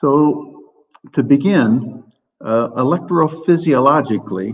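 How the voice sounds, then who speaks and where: A man with an American accent, fairly high-pitched for a man, speaking at a very slow pace, with vocal fry and lively intonation. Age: 70s. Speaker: professor. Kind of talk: lecture.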